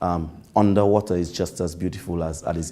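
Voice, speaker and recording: This man's voice is very deep and low, with a dark, mellow tone. He talks at a moderate pace in a flat monotone. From Dominica (Portsmouth). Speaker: government minister. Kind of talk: interview. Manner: hesitant, many fillers.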